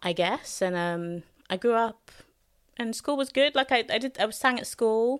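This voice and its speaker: A woman with a London accent, fairly high pitch and ordinary pitch variation, at a moderate pace, in a very clean recording with a silent background. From London, Hackney. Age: 20s. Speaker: soul singer and songwriter. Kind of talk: casual chat.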